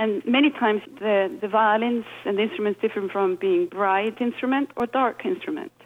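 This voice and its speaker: A woman with an Icelandic accent, fairly high in pitch, at a fairly quick pace. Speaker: violinist. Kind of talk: interview.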